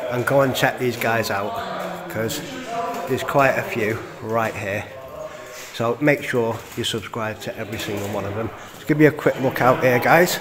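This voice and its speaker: Amid noticeable background noise, a man speaks at a moderate pace with ordinary pitch variation and long, frequent pauses. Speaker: urban explorer vlogger. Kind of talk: casual vlog chat. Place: church. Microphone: phone near.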